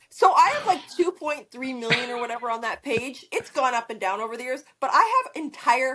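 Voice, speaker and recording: Speaking in a Canadian accent, this raised, projected voice has an animated tone and very wide pitch swings. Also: woman. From Canada. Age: 50s. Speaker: model and social media personality. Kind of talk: casual interview chat. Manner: animated, rapid storytelling.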